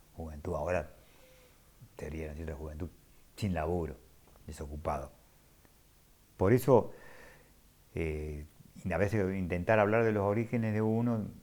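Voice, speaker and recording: Speaking at a moderate pace with long, frequent pauses, a man has a very deep, low pitch and ordinary pitch variation. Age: 70s. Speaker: former print worker and union activist. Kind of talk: interview testimony. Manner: halting.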